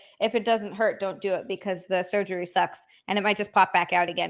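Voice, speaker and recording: A woman's bright, sharp tone is heard on a very clean recording against a silent background. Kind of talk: casual, conversational. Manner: crisp, overly enunciated T's.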